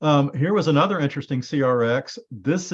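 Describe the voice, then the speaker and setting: There is a quiet background behind this man, whose pitch varies in an ordinary way. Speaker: genealogy presenter. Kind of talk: presentation. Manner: fast.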